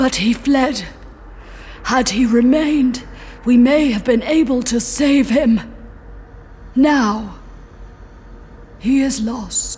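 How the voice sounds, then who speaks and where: A put-on character voice at a very slow pace, full of long, frequent pauses, over clear background noise. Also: female-sounding voice, high pitch for a woman. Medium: audio drama. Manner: formal, literal, measured.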